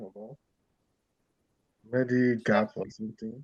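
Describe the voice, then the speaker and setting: A quiet man's voice at medium pitch, with a dry, close sound and no echo. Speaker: student in licensing class. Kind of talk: reading aloud.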